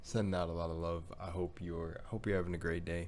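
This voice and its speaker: Fairly quickly, a man talks in a very deep, low pitch. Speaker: YouTuber reacting to videos. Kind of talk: casual video intro.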